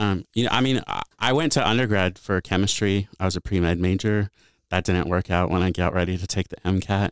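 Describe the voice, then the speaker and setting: Captured dry and close with no echo in a very clean recording over a silent background, a man with a Midwestern American accent speaks at a fairly quick pace in a very deep, low voice with ordinary pitch variation. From US Midwest, Bloomington, Illinois. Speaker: college student affairs director. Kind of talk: casual interview. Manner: hesitant, many fillers.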